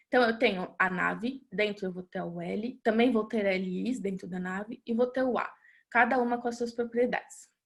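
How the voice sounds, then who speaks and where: A plain, everyday voice from a woman, fairly high in pitch, at a moderate pace with fairly even intonation. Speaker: web developer presenter. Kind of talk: webinar tutorial.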